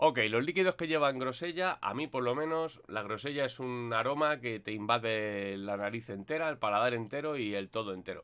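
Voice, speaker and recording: Over a quiet background, a man talks at a moderate pace and medium pitch with ordinary pitch variation. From Spain. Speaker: vape reviewer YouTuber; product reviewer. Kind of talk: product review monologue. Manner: casual, hesitant with fillers. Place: home room. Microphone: webcam.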